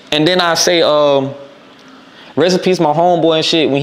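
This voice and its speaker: A man with an American accent speaks in a fairly even intonation over noticeable background noise. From North Carolina, Raleigh and Edenton. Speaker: rapper. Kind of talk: interview. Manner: casual, hesitant with fillers.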